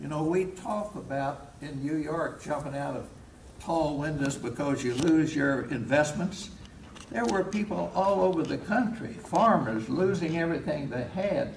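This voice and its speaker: A man with a Kentucky accent, fairly high in pitch, lively in intonation and fairly slow, over noticeable background noise. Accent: Southern US (Kentucky). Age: 80s+. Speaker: war veteran. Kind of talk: speech to a veterans' group. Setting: live hall talk, poor audio.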